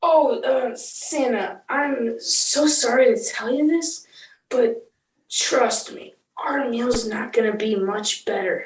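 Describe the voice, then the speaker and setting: A woman's put-on character voice, raspy and high-pitched, with lively intonation at a fairly slow pace. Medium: audio drama. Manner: sympathetic, rueful.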